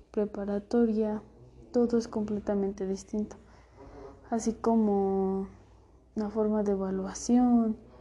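The voice has a dark, mellow tone and monotone, flat intonation. It moves at a fairly slow pace. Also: woman. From central Mexico. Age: 20s. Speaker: law student. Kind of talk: recorded self-presentation for class. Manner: halting, with fillers and repetitions.

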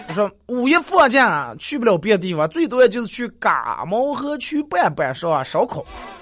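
Amid noticeable background noise, a man with a high pitch and very wide pitch swings speaks at a moderate pace with hardly any pauses. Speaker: radio talk show host. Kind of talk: dialect comedy talk show. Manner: animated.

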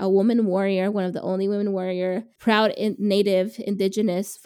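A woman of fairly high pitch talks at a fairly quick pace with a dark, mellow tone on a very clean recording with a silent background. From Mexican immigrant family, raised in the US. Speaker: podcast co-host. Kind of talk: casual chat.

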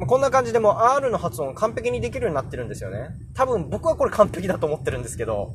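Over noticeable background noise, a man speaks at a very fast pace in a high voice. His pitch swings very widely and his loudness rises and falls a lot. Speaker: podcaster teaching English pronunciation. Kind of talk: casual solo podcast talk. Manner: hesitant with many fillers.

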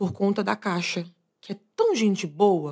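On a very clean recording with a silent background, this woman's intonation stays fairly even. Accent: strong Bahian. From Bahia interior, Brazil (Eunápolis). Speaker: e-commerce executive. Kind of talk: interview conversation.

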